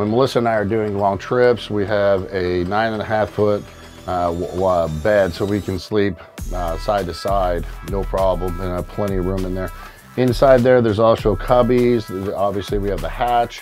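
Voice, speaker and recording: Faint music in the background accompanies a voice at a moderate pace with fairly even intonation. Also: man, fairly low pitch for a man. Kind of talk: tour walkthrough explanation. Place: boat.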